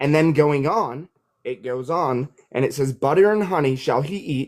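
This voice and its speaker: A man uses lively intonation and a moderate pace in a plain, everyday voice. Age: 30s. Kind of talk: call-in debate argument.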